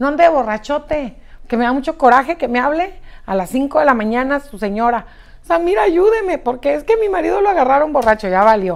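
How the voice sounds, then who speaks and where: Animated and fairly quick, a woman speaks at a high pitch with very wide pitch swings over a quiet background. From Mexico, Chihuahua. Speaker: news presenter. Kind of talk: live news show with commentary. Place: studio.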